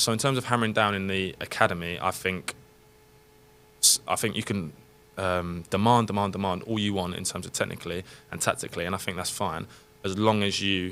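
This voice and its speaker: Talking at a very fast pace, a man with a London accent has a bright, sharp tone and a fairly low pitch. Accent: southern English (London). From England, London area. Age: 30s. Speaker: professional footballer. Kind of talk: casual podcast interview. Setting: studio.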